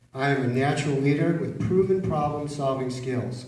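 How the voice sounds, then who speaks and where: Audible room echo surrounds a man with an American accent speaking in a fairly high pitch. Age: 60s. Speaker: mayoral candidate. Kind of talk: campaign opening statement. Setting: public forum with live audience.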